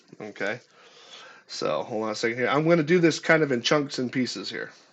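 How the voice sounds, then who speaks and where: A man with an unremarkable speaking voice at a medium pitch. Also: ordinary pitch variation, fairly quick pace. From United States. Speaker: streamer analysing his own interview. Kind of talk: live stream commentary. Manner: casual, with many fillers and repetitions.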